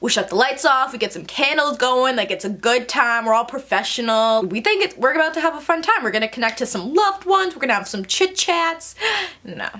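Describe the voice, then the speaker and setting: A woman's raised, projected voice, high in pitch, bright and sharp in tone, animated, with very wide pitch swings at a fairly quick pace. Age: 20s. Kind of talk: casual storytime talk to camera. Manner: animated, chatty.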